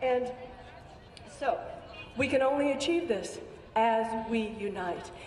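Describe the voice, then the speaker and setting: A woman with a high pitch, fairly slow pace, audible room echo and noticeable background noise. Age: 70s. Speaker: activist speaker at a protest. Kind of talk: speech to a rally. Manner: impassioned.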